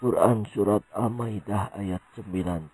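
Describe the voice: A man's put-on character voice, fairly low and slightly mellow, with a slightly husky edge, vocal fry, ordinary pitch variation and a fairly slow pace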